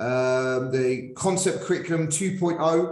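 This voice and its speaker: A man is speaking. Audible echo from the room surrounds his voice. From northern England. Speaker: podcast host, PE teacher. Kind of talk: interview. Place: home room. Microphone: video call.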